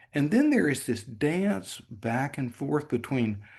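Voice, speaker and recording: Over a quiet background, a man speaks in a somewhat breathy voice with very wide pitch swings. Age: 70s. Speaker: meditation teacher. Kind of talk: talk on spiritual practice.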